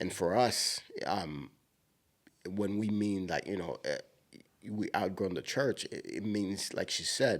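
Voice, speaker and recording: A man talks at a fairly slow pace with a strong Haitian accent. His pitch is fairly low. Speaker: podcast co-host. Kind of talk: casual chat.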